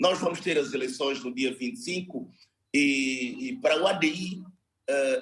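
A man with a fairly high pitch and lively intonation talks at a very slow pace. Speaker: party political adviser. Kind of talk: televised political debate. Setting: video call.

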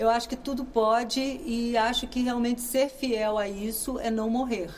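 Audible room echo plus noticeable background noise behind a female speaker. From Brazil, Minas Gerais. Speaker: actress and comedian. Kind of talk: interview.

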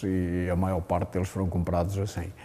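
This man's voice has a dark, mellow tone. He talks at a moderate pace. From Portugal. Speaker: businessman and wine producer. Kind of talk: interview.

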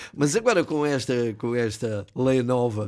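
A man's medium-pitched voice with ordinary pitch variation on a very clean recording with a silent background. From Ribatejo, Portugal. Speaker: retired pilot and author. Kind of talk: radio interview. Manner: halting, repeats words.

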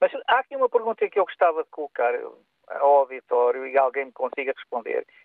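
The speaker is a man. He talks at a fairly quick pace with hardly any pauses. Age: 60s. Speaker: radio caller. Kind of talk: phone-in opinion. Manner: halting.

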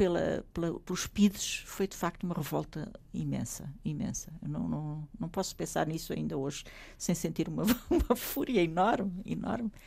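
A woman speaks at a fairly slow pace with vocal fry. Her intonation is lively. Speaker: author and former lecturer. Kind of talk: interview. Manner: halting.

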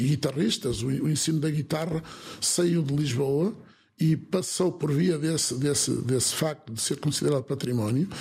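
This man's voice is fairly high in pitch with a dark, mellow tone. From northern Portugal, Alto Minho. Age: 60s. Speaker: folk improvisational singer and concertina player. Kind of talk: interview. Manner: halting, with repetitions.

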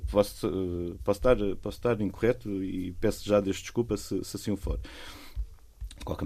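A man's very deep, low voice, dark and mellow, with vocal fry, lively intonation, a moderate pace, and hardly any pauses. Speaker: volunteer beach clean-up organiser. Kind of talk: casual chat. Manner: animated; halting.

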